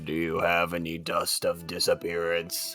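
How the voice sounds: In a put-on character voice pitched very deep and low, the speaker growls at a moderate pace over faint background music.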